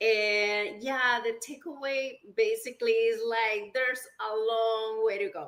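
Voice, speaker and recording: The speech moves at a very slow pace with fairly even intonation. It carries a Spanish accent. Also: woman. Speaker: small business owner. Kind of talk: casual interview.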